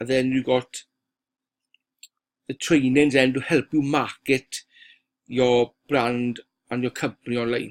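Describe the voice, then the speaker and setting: In a Welsh accent, a man with a medium pitch speaks at a fairly slow pace with a monotone, flat intonation and long, frequent pauses, in a dry, close sound with no echo. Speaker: online marketer. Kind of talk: software walkthrough sales pitch. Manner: casual, halting with fillers.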